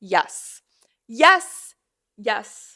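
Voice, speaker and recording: A woman with an American accent speaks in a raised, projected voice with a bright, sharp, animated tone. The recording is very clean with a silent background. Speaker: podcast host. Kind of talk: casual solo podcast monologue.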